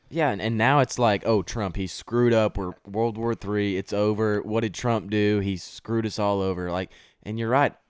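With a Texan accent and a fairly low pitch, a man speaks at a moderate pace with hardly any pauses and fairly even intonation, in a dry, close sound with no echo on a very clean recording with a silent background. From Texas. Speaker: college student. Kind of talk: casual chat.

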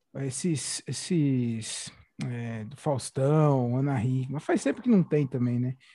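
This man talks at a very slow pace with a dark, mellow tone and medium pitch. His pitch variation is ordinary, and the recording is very clean with a silent background. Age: young. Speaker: podcast host. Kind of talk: casual interview chat.

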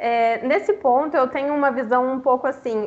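A woman with a high pitch talks fairly slowly over noticeable background noise. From Brazil, Minas Gerais. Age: 20s. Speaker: book influencer. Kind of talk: casual chat.

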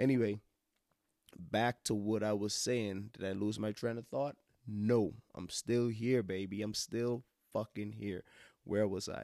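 A man's dark, mellow tone, fairly even in intonation, with long, frequent pauses, dry and close with no echo in a very clean recording over a silent background. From Bahamas. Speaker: podcast host. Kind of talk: casual monologue. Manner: rambling, repetitive.

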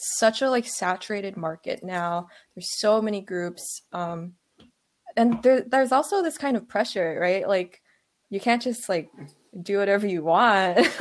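A woman's normal speaking voice with an American accent, medium pitch and ordinary pitch variation, at a moderate pace on a very clean recording with a silent background. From Virginia, US. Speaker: guest, K-pop fan. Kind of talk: casual chat.

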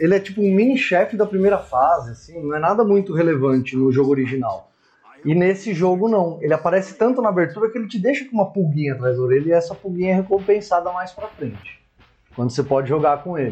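A man speaks very fast with lively intonation. His pitch sits high for a man. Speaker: podcast co-host. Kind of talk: casual chat.

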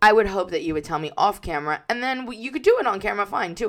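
A woman speaks with lively intonation. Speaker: podcast co-host. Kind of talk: casual chat.

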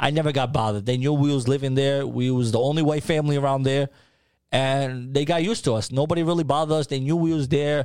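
Over a very clean recording with a silent background, a man with a New York accent talks at a very fast pace in a fairly high pitch, his loudness very even. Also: fairly even intonation. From New York City (Harlem). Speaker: food brand founder. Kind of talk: casual interview.

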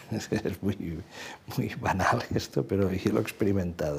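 At a very slow pace, a man speaks in a fairly low pitch with ordinary pitch variation. His tone is dark and mellow, and somewhat breathy. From Catalonia, Badalona. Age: 60s. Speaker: journalist. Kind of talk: long-form interview.

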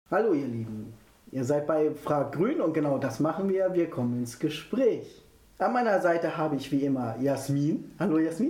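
A man's somewhat breathy, dark, mellow voice, fairly high in pitch, with lively intonation and audible room echo. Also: moderate pace. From near Hannover, Germany. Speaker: podcast host. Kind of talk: interview.

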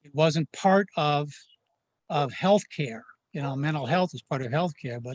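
A man with an ordinary speaking voice, fairly high pitch and ordinary variation at a moderate pace, in a dry, close sound with no echo. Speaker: nonprofit board member, parent of son. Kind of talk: interview.

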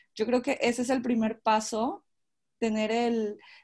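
In a very clean recording with a silent background, a woman with a plain, everyday voice speaks at a fairly slow pace and a fairly high pitch. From Culiacán, Sinaloa, Mexico. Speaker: master's student. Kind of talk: casual panel chat.

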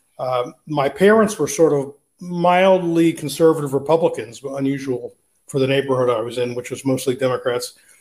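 This man has a fairly high pitch and a somewhat breathy voice, speaking with an American accent. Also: ordinary pitch variation, moderate pace. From Philadelphia, US. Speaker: libertarian writer. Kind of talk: interview.

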